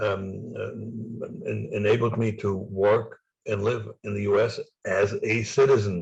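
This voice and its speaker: A man with a slight German accent speaks at a fairly slow pace. He leaves long, frequent pauses. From East Germany. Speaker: former spy and author. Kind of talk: interview. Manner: halting.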